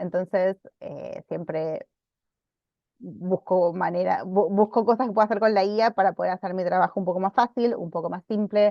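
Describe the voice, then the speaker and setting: A woman talks at a moderate pace with medium pitch and fairly even intonation. The sound is dry with no echo over a quiet background. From Argentina. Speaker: librarian teaching a workshop; webinar presenter. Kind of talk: online workshop presentation; lecture. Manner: frequent hesitations and repetitions. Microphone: video call.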